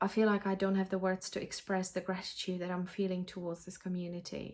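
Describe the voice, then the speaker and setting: A woman with a Czech accent speaks fairly quickly at a medium pitch in a flat monotone, with hardly any pauses. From Czech Republic. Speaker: cross-stitch vlogger. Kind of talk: casual vlog chat. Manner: halting, many fillers and restarts.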